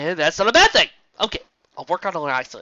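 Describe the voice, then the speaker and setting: Putting on a character voice, a man talks at a very fast pace in a high pitch, his voice raised and projected. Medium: read story. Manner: sheepish, self-deprecating.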